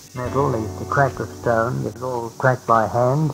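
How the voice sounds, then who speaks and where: Music plays behind a man speaking at a medium pitch with ordinary pitch variation. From Nelson, New Zealand. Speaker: retired bush worker and bullock driver. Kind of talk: oral history reminiscence.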